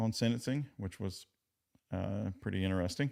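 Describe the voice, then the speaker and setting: Speaking at a moderate pace, a man with a Southern US accent has a very deep, low pitch. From Virginia. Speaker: legal commentary streamer. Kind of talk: live stream chat commentary. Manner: casual, halting with fillers.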